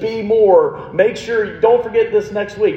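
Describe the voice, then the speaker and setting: At a fairly slow pace, a man speaks amid audible room echo and noticeable background noise. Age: 30s. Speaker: pastor. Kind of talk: sermon. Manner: casual, conversational.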